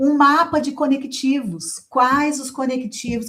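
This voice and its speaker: Her tone is animated as a woman speaks in a Brazilian accent. She keeps a fairly slow pace. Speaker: writing teacher. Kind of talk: online class with sales pitch. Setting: online class.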